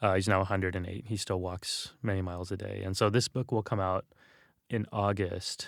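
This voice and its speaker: A man speaks at a fairly quick pace with an American accent and a very deep, low pitch. His intonation is fairly even, on a very clean recording with a silent background. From Texas, San Antonio. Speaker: religious scholar and author. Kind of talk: interview conversation. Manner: casual, many fillers and repetitions.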